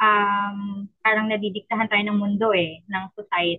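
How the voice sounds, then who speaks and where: An ordinary speaking voice moves at a fairly slow pace with fairly even intonation. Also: woman. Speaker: stay-at-home mom and virtual assistant. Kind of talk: casual chat.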